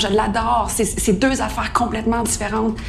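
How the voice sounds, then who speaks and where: A woman at medium pitch with a Quebec accent, moderate pace, audible room echo, and music in the background. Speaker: podcast co-host, actor. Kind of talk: casual chat.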